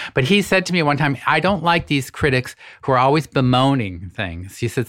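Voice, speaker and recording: A man with a medium pitch talks at a moderate pace with lively intonation. He has a plain, everyday voice, on a very clean recording with a silent background. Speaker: podcast host and former magazine editor. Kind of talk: casual interview chat. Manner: modest, self-deprecating.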